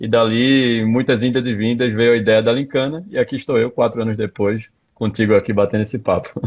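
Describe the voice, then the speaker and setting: A man with a Recife accent speaks at a fairly quick pace, his medium pitch held in fairly even intonation. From Pernambuco, Brazil (Recife). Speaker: tech startup founder. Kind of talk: live interview. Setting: Instagram live stream.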